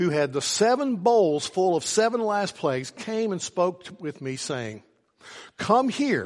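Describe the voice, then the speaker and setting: A man with an Appalachian accent, his pitch swinging very widely, against a quiet background. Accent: Appalachian Southern US. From US South, southwestern Virginia. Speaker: pastor. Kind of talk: sermon. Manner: halting, many fillers and repeats.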